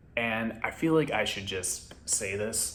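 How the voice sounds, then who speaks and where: Audible room echo surrounds a man who talks at a fairly slow pace, his fairly low pitch showing ordinary variation. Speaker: movie reviewer. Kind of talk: casual review vlog. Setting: at home. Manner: quieter than usual, kept low.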